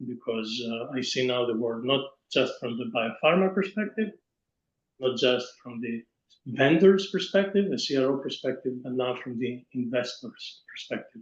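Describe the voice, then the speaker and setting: Speaking at a moderate pace, a man has a plain, everyday voice of medium pitch with ordinary pitch variation. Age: 60s. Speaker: pharma industry executive and investor. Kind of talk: webinar panel discussion.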